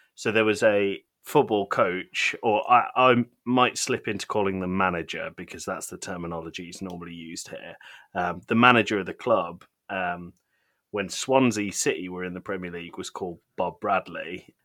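A man with a British accent, fairly low-pitched, bright and sharp in tone, at a moderate pace with ordinary pitch variation, on a very clean recording with a silent background. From Britain. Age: 30s. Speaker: podcast guest, gaming podcaster and father. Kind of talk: casual chat.

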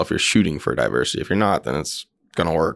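In a very clean recording with a silent background, a man with an American accent speaks with vocal fry. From central Indiana. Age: 20s. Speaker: tech company co-founder and COO. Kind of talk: interview.

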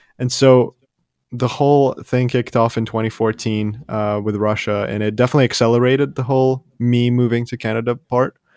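Speaking in a monotone, flat way at a fairly quick pace, a man has a medium pitch. The sound is dry and close with no echo, over a quiet background. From Ukraine (Ivano-Frankivsk, western Ukraine). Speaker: YouTuber, music reaction channel. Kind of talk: casual interview chat. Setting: remote call.

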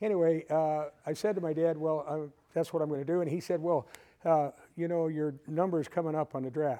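Against a quiet background, a man with an American accent speaks in a fairly high pitch and a dark, mellow tone, his intonation fairly even. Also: fairly quick pace. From US Midwest, northern Illinois (Waukegan). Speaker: retired air force colonel and fighter pilot. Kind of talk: conference talk with audience.

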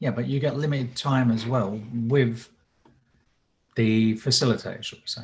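At a moderate pace, a man with a medium pitch speaks in a somewhat breathy voice with fairly even intonation and long, frequent pauses. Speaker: husband, co-presenter. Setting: video call.

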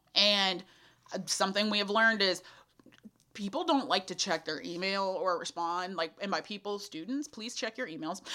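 A woman with a Texan accent and a bright, sharp tone at a moderate pace. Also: medium pitch for a woman, ordinary pitch variation. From Central Texas, small town near Austin. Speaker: college student affairs coordinator. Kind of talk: casual interview. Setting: mobile podcast studio.

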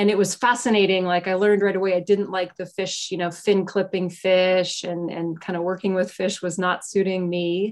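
A woman's medium-pitched voice in an American accent, monotone with flat intonation. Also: very clean recording, silent background. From US, Pittsburgh. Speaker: environmental anthropology professor. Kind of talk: casual interview conversation. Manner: halting, many fillers.

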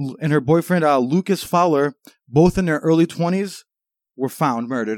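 A man's fairly high voice at a moderate pace with ordinary pitch variation, in a very clean recording with a silent background and a dry, close sound with no echo. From Massachusetts, New England. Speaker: podcast host. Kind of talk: casual banter, comedic podcast chat.

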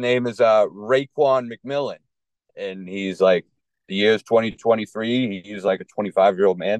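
A man's voice with a Boston accent, in a dry, close sound with no echo. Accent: Boston-area. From Lowell, Massachusetts. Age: 30s. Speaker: stand-up comedian. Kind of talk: casual chat. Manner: low-energy, somewhat monotone.

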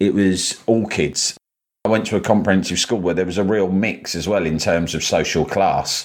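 In a London accent, a man speaks at a very deep, low pitch. His pace is moderate and his intonation fairly even. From London, England. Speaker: journalist and broadcaster. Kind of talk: interview.

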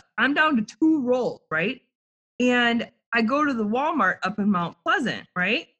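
Her tone bright and sharp, a woman speaks in a high, animated voice at a moderate pace, with very wide pitch swings. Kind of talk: casual chat. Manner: animated, profane.

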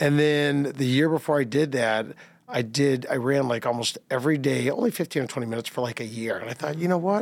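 A man speaks at a very fast pace, fairly high in pitch with ordinary pitch variation. Noticeable background noise sits behind him. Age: 50s. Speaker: marathon runner. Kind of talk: casual interview.

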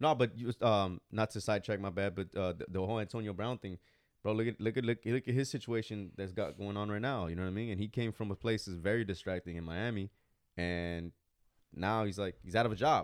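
With an American accent, a plain, everyday voice moves at a fairly quick pace with ordinary pitch variation in a very clean recording, silent background, and a dry, close sound with no echo. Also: man, fairly low pitch for a man. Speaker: podcast host. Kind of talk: casual chat.

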